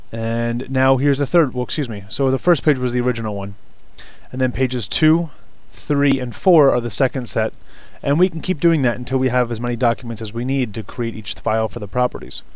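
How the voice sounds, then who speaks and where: A man speaks at a fairly quick pace with a medium pitch and ordinary pitch variation. Noticeable background noise is present. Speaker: real estate trainer. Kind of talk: tutorial.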